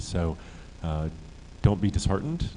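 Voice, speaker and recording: The tone is dark and mellow. Its pace stays moderate. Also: man. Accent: American. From USA. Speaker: startup accelerator director. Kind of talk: conference panel talk. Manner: hesitant, many fillers.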